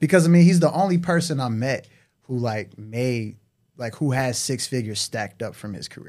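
On a very clean recording with a silent background, a man at medium pitch talks at a fairly quick pace, with lively intonation and big swings in loudness. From Detroit. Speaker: podcast host, digital marketer. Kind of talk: casual chat.

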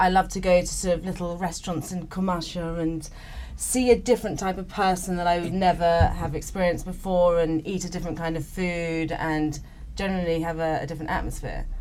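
Flat, monotone speech from a woman with an English accent, fairly quick in pace, with audible room echo. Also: fairly low pitch for a woman. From England. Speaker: painter. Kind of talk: casual chat.

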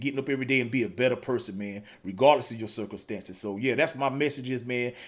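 A man's medium-pitched voice shows ordinary pitch variation as he talks at a very fast pace. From North or South Carolina, US South. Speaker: podcast host. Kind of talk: casual interview. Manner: animated.

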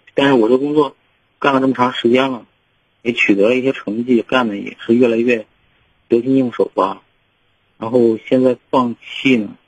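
At a medium pitch, a man speaks in a monotone, flat intonation at a moderate pace with long, frequent pauses. The sound is dry and close, with no echo. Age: 30s. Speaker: caller, oil industry field worker. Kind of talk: call-in advice. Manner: halting.

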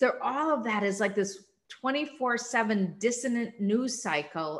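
The speaker uses a warm, enthusiastic tone with a Minnesotan accent at a fairly slow pace. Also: woman. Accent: Minnesota. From Minnesota, US. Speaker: nonprofit CEO and former state senator. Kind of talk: interview conversation. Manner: warm, enthusiastic, energetic.

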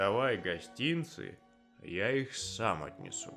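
Doing a put-on character voice, a man talks at a slow pace in a fairly bright tone with big pitch swings, while faint music plays in the background. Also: fairly low pitch for a man.

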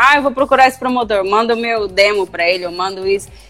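A woman speaks at a very fast pace. Her voice sits fairly high. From Brazil, Guaíra interior. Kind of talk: casual live-stream interview.

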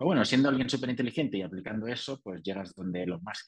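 A man talks at a very fast pace. He has a Spanish accent. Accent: Peninsular Spanish. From Spain. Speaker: entrepreneur and author. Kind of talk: interview.

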